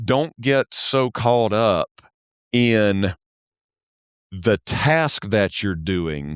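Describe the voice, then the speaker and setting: On a very clean recording with a silent background and a dry, close sound with no echo, a man with a Southern US accent speaks very slowly with lively intonation and long, frequent pauses. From US South. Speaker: church accounting specialist. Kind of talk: podcast interview. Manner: halting, many repetitions and fillers.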